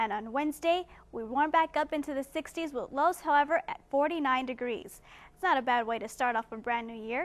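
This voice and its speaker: Lively intonation and a fairly quick pace come with an American accent. The background is quiet. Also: woman, high pitch for a woman. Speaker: TV weather forecaster. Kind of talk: TV weather broadcast.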